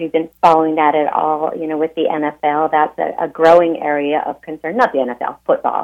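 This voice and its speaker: With an American accent, a woman speaks at a moderate pace and a very deep, low pitch, keeping her intonation fairly even with hardly any pauses. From Montana. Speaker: nonprofit executive director. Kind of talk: radio interview. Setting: phone call.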